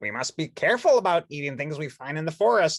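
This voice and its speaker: Using a put-on character voice, a man speaks very fast at a fairly high pitch. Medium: read story. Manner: earnest, explanatory.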